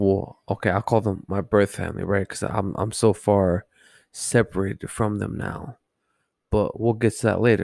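A man with an American accent speaks at a fairly slow pace on a very clean recording with a silent background. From Southern California, Los Angeles. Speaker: podcaster sharing life story. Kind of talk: casual personal storytelling monologue.

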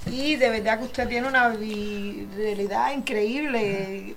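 Through audible room echo and noticeable background noise, a woman talks with ordinary pitch variation. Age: 60s. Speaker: radio host and insurance agent. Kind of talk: insurance info segment; casual interview.

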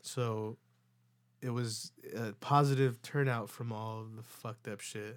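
In a very clean recording with a silent background, a man with a plain, everyday voice at medium pitch speaks fairly slowly, with fairly even intonation and big swings in loudness. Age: 20s. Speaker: podcast host. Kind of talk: casual chat. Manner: casual, filler-heavy.

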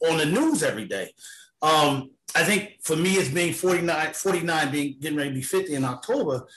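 With an American accent, a man in a normal speaking voice talks at a moderate pace, his fairly high pitch showing ordinary pitch variation. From New York. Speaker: financial analyst. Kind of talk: casual panel discussion.

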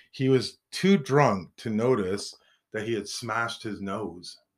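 A man speaks in an unremarkable speaking voice. His pitch variation is ordinary. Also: very clean recording, silent background. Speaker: podcast host. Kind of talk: casual banter between co-hosts.

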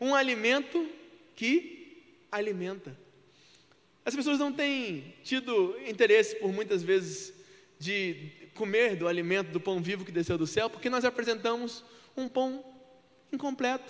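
A man with a high pitch speaks at a fairly slow pace, using lively intonation and long, frequent pauses. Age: 20s. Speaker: preacher. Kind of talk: sermon.

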